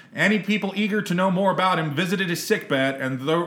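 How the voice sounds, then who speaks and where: A man talks very fast in a high pitch with ordinary pitch variation. Noticeable background noise is present. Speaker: podcast co-host. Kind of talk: casual chat. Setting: outdoors.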